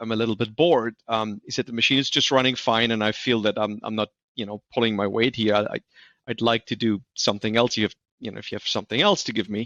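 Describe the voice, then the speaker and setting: Talking very fast with a slight German accent, a man at medium pitch comes through dry and close with no echo against a quiet background. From Germany. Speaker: industrial maintenance expert. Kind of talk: podcast interview. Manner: halting, many fillers and repeats.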